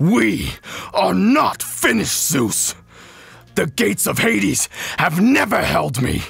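Using a put-on character voice with a fairly high pitch, a man speaks at a fairly slow pace with long, frequent pauses. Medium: solo performance. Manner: roaring, defiant.

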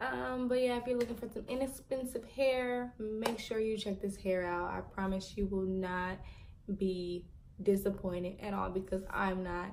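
At a moderate pace and with ordinary pitch variation, the voice comes through over light background noise. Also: woman. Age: 20s. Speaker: beauty vlogger. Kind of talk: product review. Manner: casual, chatty. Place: home room. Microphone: phone near.

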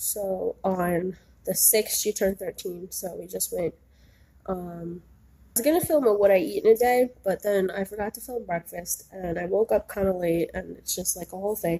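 At a medium pitch, a woman speaks with a nasal, dark, mellow tone, vocal fry and a slightly husky edge. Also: ordinary pitch variation, moderate pace.

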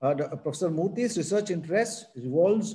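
With an Indian accent, a man speaks in a dark, mellow tone. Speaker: event moderator. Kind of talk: formal introduction. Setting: video call. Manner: halting. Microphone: video call.

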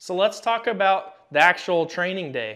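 A man's pitch varies in an ordinary way while the background remains quiet. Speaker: firearms class instructor. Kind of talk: tutorial. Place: shop.

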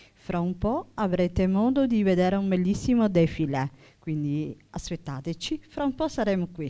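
A woman with a Sicilian accent, dark and mellow in tone, with very wide pitch swings. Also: medium pitch for a woman, moderate pace. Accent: Sicilian Italian. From Sicily. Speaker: teacher. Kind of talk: public talk. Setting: stage with audience. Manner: halting.

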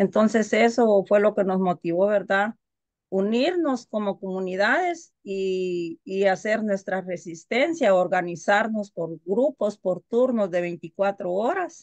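A woman talks very slowly against a quiet background. Her pitch varies in an ordinary way. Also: dry sound with no echo. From Guatemala. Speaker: community activist. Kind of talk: panel testimony. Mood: earnest, determined. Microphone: video call.

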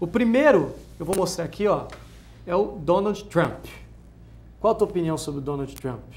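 A man at a moderate pace with long, frequent pauses. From interior of São Paulo state, Ribeirão Preto; São Paulo state. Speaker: talk show host. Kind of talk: talk show interview. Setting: TV studio, live talk show. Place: studio.

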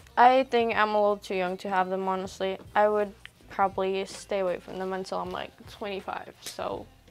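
Faint background music behind a woman's voice. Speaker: vlogger. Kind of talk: casual vlog chat. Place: home room. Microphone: lapel.

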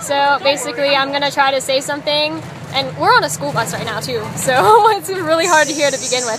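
A woman's high-pitched voice with very wide pitch swings, fairly quick pace, crowd noise behind, and a dry sound with no echo. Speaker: vlogger. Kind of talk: casual talk to camera. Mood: cheerful, giggly. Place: bus. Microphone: phone near.

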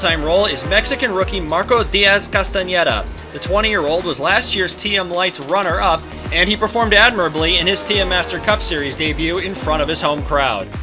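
A man talks fairly quickly, with music playing in the background. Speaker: league host narrator. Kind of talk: commentary.

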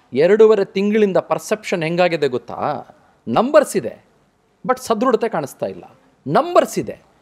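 A high-pitched male voice with very wide pitch swings. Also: big swings in loudness. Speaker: TV news anchor interviewing a minister. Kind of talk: TV political interview. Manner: direct, forthright questioning. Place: studio. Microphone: lapel.

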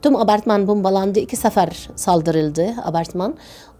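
Woman's voice with an Arabic accent, medium pitch and a dark, mellow tone. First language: Arabic (speaking Turkish). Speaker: obstetrician. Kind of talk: testimony. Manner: halting.

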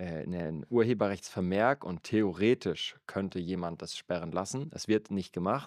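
A man with a very deep, low pitch and ordinary pitch variation is heard in a very clean recording with a silent background and a dry, close sound with no echo. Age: 30s. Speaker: church worker and podcast co-host. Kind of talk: casual chat about faith.

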